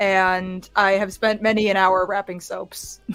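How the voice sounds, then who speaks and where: The recording is very clean with a silent background. A woman speaks at medium pitch in a monotone, flat delivery. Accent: Midwestern. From US Midwest. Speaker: actor. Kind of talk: casual chat.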